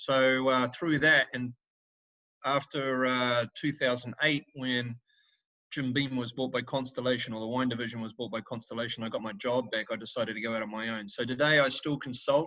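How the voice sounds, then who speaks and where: Here a man speaks with a New Zealand accent. His pace is moderate and his intonation fairly even. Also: medium pitch for a man. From New Zealand, Northland. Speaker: winemaker. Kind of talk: wine tasting presentation. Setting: video call.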